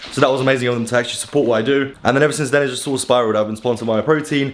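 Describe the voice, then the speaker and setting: With an English accent, a man at a medium pitch speaks at a very fast pace. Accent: posh-sounding English, crisp T's. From Poland, moved to England at about nine. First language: Polish. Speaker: fitness influencer. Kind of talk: casual vlog talk to camera.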